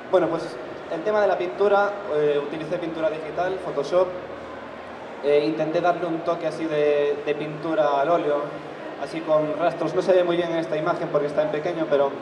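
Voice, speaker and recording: Noticeable background noise sits under speech delivered at a fairly quick pace with monotone, flat intonation. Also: man. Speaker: illustrator on a panel. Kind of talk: panel talk explaining his artwork. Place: hall.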